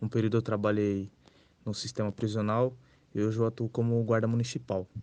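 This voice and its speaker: The voice has a dark, mellow tone and a fairly quick pace. Its intonation stays monotone and flat. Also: man, fairly low pitch for a man. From Brazil, western São Paulo state (Santo Anastácio). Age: 20s. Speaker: municipal guard. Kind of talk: self-introduction.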